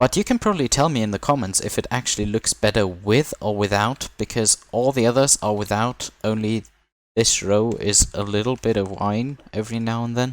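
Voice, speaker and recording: A man with a non-native accent speaks at a moderate pace with fairly even intonation, in a very clean recording with a silent background and a dry, close sound with no echo. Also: medium pitch for a man. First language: not English. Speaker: gaming video creator. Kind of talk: gameplay commentary. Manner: casual, relaxed.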